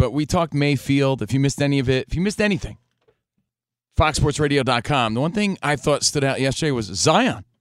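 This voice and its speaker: In an unremarkable speaking voice, a man talks at a fairly quick pace, fairly high in pitch with ordinary pitch variation. The recording is very clean, with a silent background. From New Jersey. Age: 40s. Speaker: sports radio host. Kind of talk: casual chat. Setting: studio.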